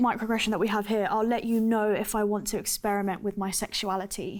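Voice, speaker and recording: Speaking with a British accent, a woman with a fairly high pitch moves at a fairly quick pace with fairly even intonation and hardly any pauses, on a very clean recording with a silent background. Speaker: student ambassador. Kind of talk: casual discussion.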